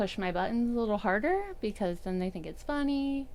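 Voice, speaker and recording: A woman speaks in a soft-spoken way. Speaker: CrossFit coach. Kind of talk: casual chat.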